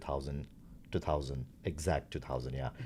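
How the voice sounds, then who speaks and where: With vocal fry, a man speaks in a very clean recording against a silent background. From India (Gujarat). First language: Gujarati. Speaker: startup founder. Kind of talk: interview. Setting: company facility.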